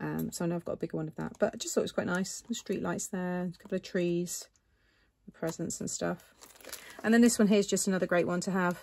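Her pace is very fast. The woman speaks at medium pitch with fairly even intonation. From England. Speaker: crafting YouTuber. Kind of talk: craft haul show-and-tell. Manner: chatty, informal.

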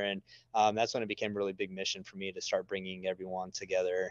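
A man with an American accent at a very fast pace, dry sound with no echo, quiet background. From West Texas (Midland, Permian Basin); West Texas. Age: 30s. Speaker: oil and gas media creator, former driller; gas media creator. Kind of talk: casual chat. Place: office. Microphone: video call.

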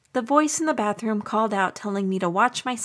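This is an unforced reading voice. It reads the words through.

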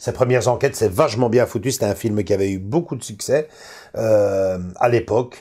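A man speaks at a moderate pace with a Belgian accent, his dark, mellow tone somewhat breathy and his pitch varying in an ordinary way against a quiet background. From Belgium. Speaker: film collector video host. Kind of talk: casual chat. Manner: halting, many fillers. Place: home room.

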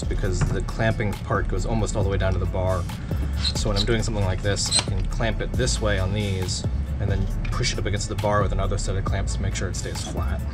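Loud music plays in the background while a man talks at a very fast pace. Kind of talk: tutorial. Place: workshop. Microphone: camera far.

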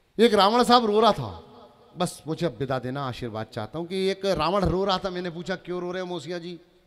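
The man's pitch is high for a man. His loudness swings widely against a quiet background. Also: moderate pace. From Chhindwara district, Madhya Pradesh, India; Madhya Pradesh, India. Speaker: comedic poet. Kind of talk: stand-up comedy poetry performance. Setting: stage with audience. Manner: animated. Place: stage. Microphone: handheld.

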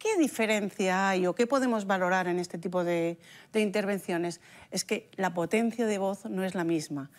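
A woman speaks at medium pitch with ordinary pitch variation. Her pace is moderate. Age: 60s. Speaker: speech therapist; guest. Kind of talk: casual chat. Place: studio. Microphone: lapel.

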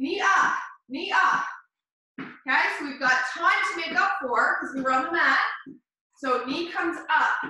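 Her raised, projected voice swings very widely in pitch as the woman speaks against a quiet background with strong room echo. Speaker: fitness instructor. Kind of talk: workout coaching cues. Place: gym. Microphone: camera far.

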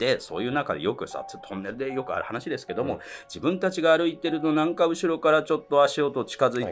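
A man speaking at a fairly quick pace over faint background music. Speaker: ghost story comedian. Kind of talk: ghost story telling. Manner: casual. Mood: hushed, suspenseful. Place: studio.

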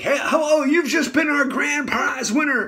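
A man's put-on character voice, extremely high in pitch, raised and projected, at a moderate pace over light background noise. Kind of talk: DJ patter. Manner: cheerful prize announcement.

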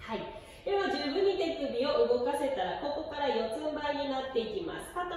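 A woman speaks at a high pitch with strong echo filling the room. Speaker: yoga teacher. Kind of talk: tutorial. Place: gym. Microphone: camera far.

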